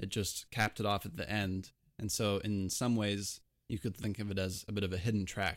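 An ordinary speaking voice at a fairly quick pace, with fairly even intonation. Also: man, fairly low pitch for a man. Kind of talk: casual chat. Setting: video call.

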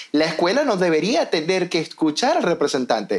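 Very wide pitch swings in a man's high voice. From Venezuela, Maracaibo. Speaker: podcast host, educator. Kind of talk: casual chat.

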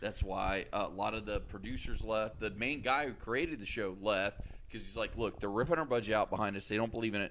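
In a very clean recording with a silent background, a man with an ordinary speaking voice talks at a fairly quick pace with hardly any pauses. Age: 30s. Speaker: podcast host. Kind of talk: casual chat.

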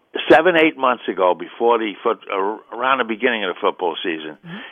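In a New York accent, a man at medium pitch speaks at a fairly quick pace with lively intonation. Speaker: caller. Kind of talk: call-in sports talk. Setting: phone call.

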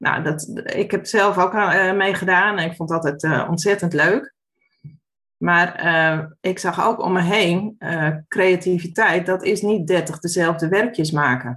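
Speaking very slowly, a woman with a medium pitch has a bright, sharp tone. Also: ordinary pitch variation. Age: 40s. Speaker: former primary school teacher, education initiative founder. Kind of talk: casual interview conversation.

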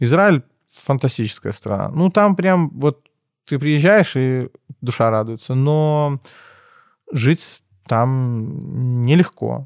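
Pitched fairly high, a man speaks very slowly with lively intonation and long, frequent pauses. The sound is dry and close, with no echo. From Belarus, Minsk. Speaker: entrepreneur, event and restaurant organizer. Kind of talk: casual interview.

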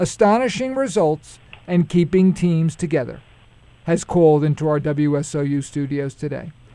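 Moderate-paced speech with a Brooklyn accent. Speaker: radio show host. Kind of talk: radio interview. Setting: radio studio.

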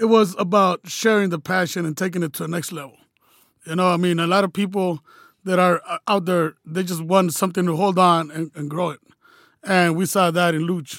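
In an American accent, a man speaks with a high voice and fairly even intonation. The sound is dry and close, with no echo. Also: fairly quick pace, very clean recording, silent background. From California. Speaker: soccer supporters group member. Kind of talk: casual interview. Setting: studio.

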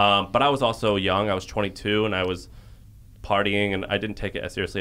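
A man with an American accent speaks in an ordinary speaking voice at a fairly low pitch. He talks fairly quickly with fairly even intonation. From US Midwest, St. Louis, Missouri. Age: 30s. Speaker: entrepreneur. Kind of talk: casual interview conversation.

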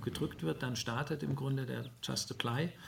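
Somewhat breathy, this voice comes through. Its pace is fairly slow. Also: man. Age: 50s. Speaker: HR tech founder. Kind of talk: interview. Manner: halting.

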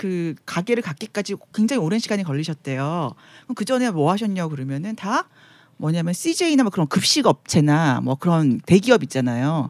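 A woman's pitch swings very widely while she speaks at a moderate pace. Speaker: guest panelist. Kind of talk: casual chat.

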